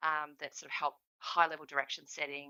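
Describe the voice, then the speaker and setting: Speaking at a fairly quick pace, a woman with an Australian accent has a very deep, low voice. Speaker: government statistician. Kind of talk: conference presentation. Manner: fast; hesitant, many fillers.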